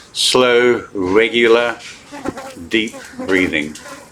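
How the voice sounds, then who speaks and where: A man is heard over noticeable background noise. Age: 70s. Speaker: qigong instructor. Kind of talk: instructional talk. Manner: calm, hesitant with fillers.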